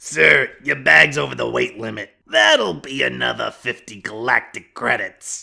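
A raspy man's voice, fairly low in pitch, moves at a fairly slow pace. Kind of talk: PA announcement. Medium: machinima. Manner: condescending, falsely polite.

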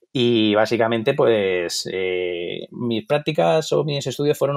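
A man is speaking at medium pitch. His pitch varies in an ordinary way. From Madrid, Spain. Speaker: photographer. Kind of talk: interview. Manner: hesitant, with many fillers.

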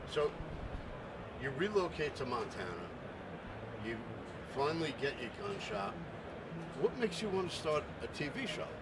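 Loud background noise sits behind a man talking at a moderate pace. He leaves long, frequent pauses. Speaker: outdoor media interviewer. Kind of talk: interview questions. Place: studio. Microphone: handheld.

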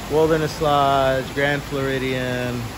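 Over noticeable background noise, a man speaks at a very slow pace with fairly even intonation. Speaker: theme park vlogger. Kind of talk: casual vlog chat. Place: hall. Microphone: phone near.

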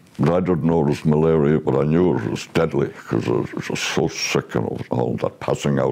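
A man's very deep, low voice with a western Irish accent, over noticeable background noise. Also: very even loudness. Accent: Irish, western Ireland. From Ireland, County Galway and County Meath. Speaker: war veteran. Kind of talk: oral history testimony. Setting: recorded at home with his son. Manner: halting.

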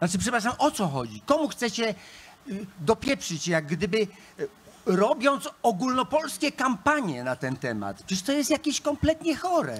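The pitch of this man's voice swings very widely. He keeps to a moderate pace. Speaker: panelist. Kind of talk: heated panel reply. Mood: agitated, irritated. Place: stage. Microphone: handheld.

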